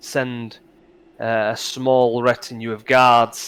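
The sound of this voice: The voice is an unforced reading voice. It is what you hear throughout.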